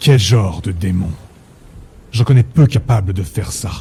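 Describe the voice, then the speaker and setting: Putting on a character voice, a man speaks at a moderate pace with fairly low pitch and lively intonation. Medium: audio drama. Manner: blunt, brusque.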